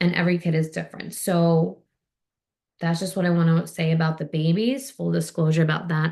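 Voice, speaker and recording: A woman speaks at a fairly quick pace with ordinary pitch variation. Her fairly low voice is dark, mellow and somewhat breathy. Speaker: physical therapist and swim instructor. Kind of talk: Q&A session, casual explanation. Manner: fast.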